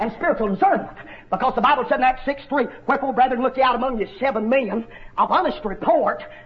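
An animated, extremely high-pitched man with a North Georgia accent, talking very fast over noticeable background noise. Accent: Southern US, North Georgia. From North Georgia, US South. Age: 30s. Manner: emphatic, repetitive, exhortative.

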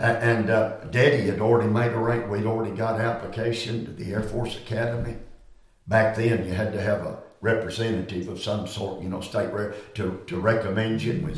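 Noticeable background noise surrounds this man's voice. He talks with a Southern US accent. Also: medium pitch for a man, fairly quick pace. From US South Carolina. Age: 70s. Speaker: preacher. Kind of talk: interview about ministry and study.

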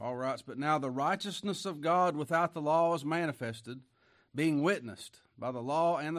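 Against a quiet background, a man talks in a plain, everyday voice, fairly high in pitch with ordinary pitch variation. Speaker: pastor. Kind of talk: sermon. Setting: church.

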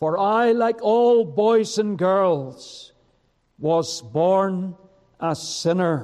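In a Northern Irish accent, a man talks at a very slow pace. His pitch is high for a man, with ordinary variation. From Northern Ireland, County Down. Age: 70s. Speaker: preacher. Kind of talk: sermon and personal testimony. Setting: church service with congregation.

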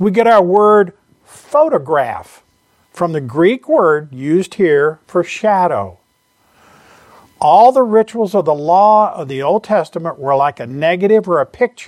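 This speaker has a Southern US accent. The pace is fairly slow. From US South. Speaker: preacher. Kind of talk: sermon.

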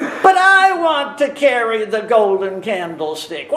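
This put-on character voice is whiny and fairly high, with very wide pitch swings. It moves at a fairly slow pace. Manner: whining.

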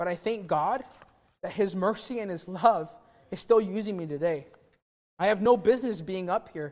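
With ordinary rises and falls in pitch, this voice moves along at a fairly quick clip. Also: man. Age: 20s. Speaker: youth pastor. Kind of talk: sermon.

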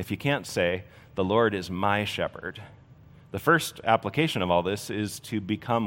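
Here a natural reading voice carries ordinary pitch variation.

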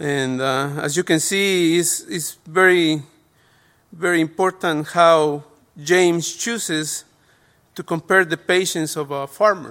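A man with a Spanish accent speaks at a very slow pace in a fairly high pitch. His tone is bright and sharp, and the recording is very clean with a silent background. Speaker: lay preacher. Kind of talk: sermon. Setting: church. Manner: halting.

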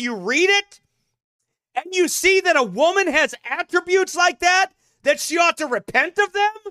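Shouting in a raised, projected voice, a man with an extremely high pitch and a bright, sharp tone moves at a fairly slow pace with lively intonation, the sound dry and close with no echo. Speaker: pastor and podcast preacher. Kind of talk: sermon-style broadcast commentary. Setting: studio broadcast. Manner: loud, shouting; animated.

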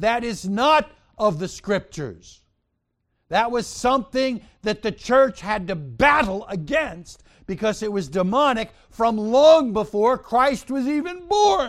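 In a very clean recording with a silent background, a man with an American accent speaks very slowly in a high pitch with lively intonation. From New York. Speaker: pastor. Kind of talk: sermon. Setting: church.

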